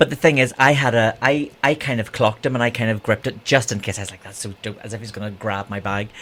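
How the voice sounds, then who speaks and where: The speaker talks very fast in a Northern Irish accent, with hardly any pauses. Pitch varies in an ordinary way, while loudness swings a lot. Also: man, medium pitch for a man. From Northern Ireland, Bangor (Co. Down). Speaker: drag queen and broadcaster. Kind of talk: casual chat.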